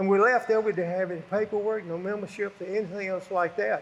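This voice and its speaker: Talking at a very fast pace, a man with a Southern US accent has a high-pitched voice. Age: 80s+. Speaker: retired racing driver. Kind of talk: storytelling interview. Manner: casual, rambling storytelling.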